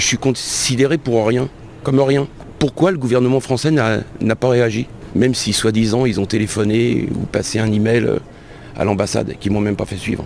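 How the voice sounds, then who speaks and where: Over noticeable background noise, a man speaks at a moderate pace and medium pitch with ordinary pitch variation. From France, Le Mans. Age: 60s. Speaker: released prisoner. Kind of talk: testimony.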